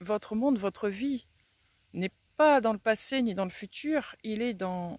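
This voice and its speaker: The voice belongs to a woman. Her pitch shifts in an ordinary way. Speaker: self-development speaker. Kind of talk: reflective talk to camera. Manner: very slow; pausing between words.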